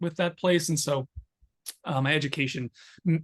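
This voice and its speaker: A man with an American accent at a moderate pace, in a dry, close sound with no echo. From US Northeast, Long Island, Suffolk County, New York. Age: 30s. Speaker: poet, author and social worker. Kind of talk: interview conversation. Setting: video call. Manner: many fillers and hesitations.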